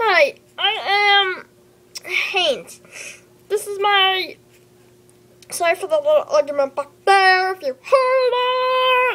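A cartoonish character voice squeaks at an extremely high pitch. It moves at a very slow pace with long, frequent pauses. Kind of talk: kid's homemade puppet show. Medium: puppet show. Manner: bubbly, excitable.

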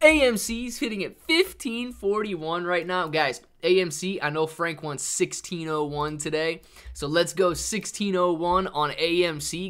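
A man's bright, sharp voice with ordinary pitch variation against a quiet background. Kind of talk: casual livestream chat. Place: home room.

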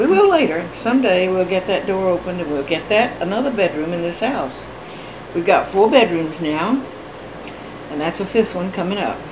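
Speaking in an American accent, the woman keeps a moderate pace while noticeable background noise is heard. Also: lively intonation. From Georgia, USA. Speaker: grandmother being interviewed; interviewee. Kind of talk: interview answer. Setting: at home, Honeysuckle Hollow. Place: home room. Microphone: camera far.

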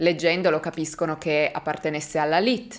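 A woman's dramatic delivery at a moderate pace over a quiet background. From Italy. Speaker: true crime youtuber. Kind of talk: true-crime narration to camera. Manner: suspenseful, engaged storytelling, dramatic. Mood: serious, suspenseful. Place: home room.

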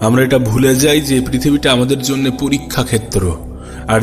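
Over music in the background, a man talks with fairly even intonation. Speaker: radio jockey. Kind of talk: religious motivational talk.

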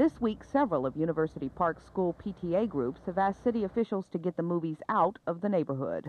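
A woman talks at a fairly quick pace with hardly any pauses, her pitch fairly low and her intonation lively. The sound is dry, with no echo. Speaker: TV news reporter. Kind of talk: 1970s TV news report, scripted narration. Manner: formal, measured, polished broadcast delivery. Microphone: old recording.

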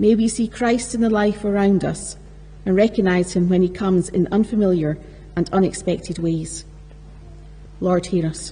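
Music plays in the background as a woman speaks at a moderate pace with fairly even intonation. She leaves long, frequent pauses. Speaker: lector reading scripture. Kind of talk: reading aloud scripture. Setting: church. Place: church. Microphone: podium.

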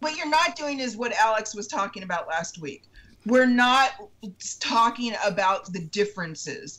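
A woman speaks at a moderate pace with a fairly high pitch and a bright, sharp tone. Her pitch swings very widely. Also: big swings in loudness. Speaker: citizen panelist; panelist. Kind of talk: casual political discussion. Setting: video call. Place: home room. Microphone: video call.

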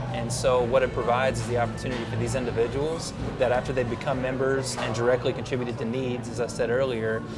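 A man at a very fast pace with hardly any pauses, clear music in the background. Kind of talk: interview answer. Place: cafe.

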